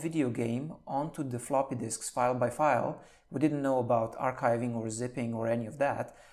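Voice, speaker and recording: A man talks with a Slovenian accent. His pitch varies in an ordinary way. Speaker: senior software engineer. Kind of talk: podcast interview.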